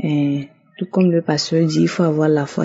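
A woman's somewhat breathy voice of very deep, low pitch, fairly slow and monotone with flat intonation. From Togo. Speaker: testimony giver. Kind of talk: testimony.

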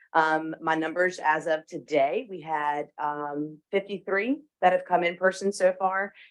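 This woman's voice sits fairly low in pitch and moves with ordinary pitch variation. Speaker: election official. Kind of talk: meeting report. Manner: loud.

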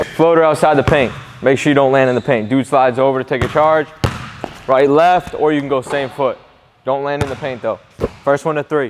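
A man talking at a fairly quick pace, with noticeable background noise. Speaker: basketball trainer. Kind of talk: coaching instruction during workout. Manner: animated. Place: gym.

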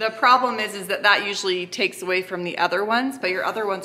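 A woman talks at a fairly quick pace with ordinary pitch variation. Light background noise can be heard. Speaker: family vlogger. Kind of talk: casual vlog chat with sponsor mention. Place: kitchen. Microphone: phone near.

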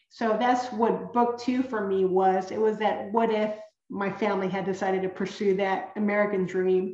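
A woman at medium pitch talks at a moderate pace with fairly even intonation, the background quiet but the room echo audible. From San Antonio, Texas (born in Coahuila, Mexico); San Antonio, Texas. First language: Spanish. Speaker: children's author. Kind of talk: author talk with slides. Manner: halting, frequent word repetitions. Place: home room. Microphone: webcam.

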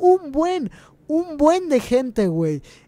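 A man with a Mexican accent and an animated tone, at a fairly slow pace. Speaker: gaming youtuber. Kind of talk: gameplay commentary.

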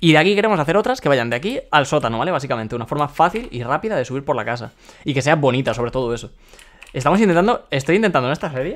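A man's fairly high voice, very fast, with lively intonation. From Spain, Valencia; Spain. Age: 20s. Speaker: gaming streamer. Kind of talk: live gameplay commentary. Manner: occasional stutter. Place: home room.

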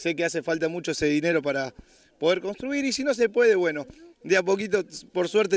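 The man has a high pitch. He talks at a fairly quick pace. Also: dry sound with no echo. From Buenos Aires, Argentina. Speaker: reality show contestant donating to charity. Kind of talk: interview. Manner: halting. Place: street. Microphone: handheld.

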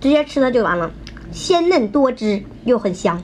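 An animated woman's voice over light background noise. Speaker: mukbang host. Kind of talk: live-stream sales pitch mixed with mukbang eating. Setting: live stream. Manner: rapid-fire, loud, repeating prices and 'order from the yellow cart below' calls; animated, gushing and excitable while eating, reacting to heat and flavor. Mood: cheerful, pleased with food. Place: home room. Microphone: phone near.

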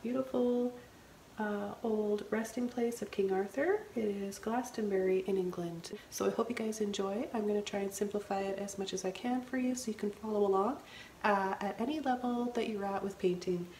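A soft-spoken voice with fairly even intonation moves at a moderate pace over light background noise. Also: woman. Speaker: painting instructor. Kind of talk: painting tutorial narration. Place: studio.

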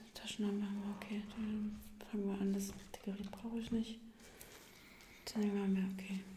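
Someone whispers, soft-spoken, at a moderate pace. Noticeable background noise is present. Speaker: investigator in role-play. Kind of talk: ASMR role-play, quiet conversational talk. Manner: whispered, soft-spoken. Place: studio.

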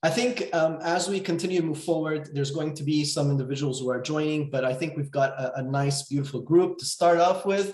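This man talks at a fairly quick pace with ordinary pitch variation. The background is quiet, though room echo is audible. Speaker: webinar host, coach. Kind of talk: webinar welcome chat. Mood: warm, friendly. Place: home room. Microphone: video call.

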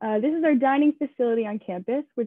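In an American accent, a woman speaks at a fairly quick pace and a high pitch, the sound dry with no echo over a quiet background. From southeastern Pennsylvania, Downingtown; Pennsylvania. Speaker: student tour guide. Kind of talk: guided campus tour. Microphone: webcam.

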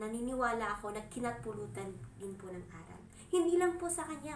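Noticeable background noise and audible room echo surround a woman speaking in a high voice. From Cordillera, northern Philippines (Igorot). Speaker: vlogger. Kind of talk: solo vlog commentary. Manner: formal.

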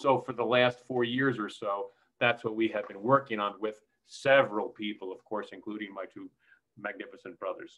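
With a plain, everyday voice, a man talks at a moderate pace and medium pitch, his intonation fairly even but his loudness swinging widely, against a quiet background. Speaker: film co-producer. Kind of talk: panel discussion. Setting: video call. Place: kitchen. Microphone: webcam.

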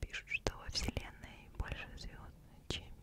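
Whispering at a fairly slow pace, a woman uses a soothing tone. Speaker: ASMR creator. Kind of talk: ASMR whisper for sleep with interesting facts. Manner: whispered, close-mic, soothing. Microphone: studio mic.

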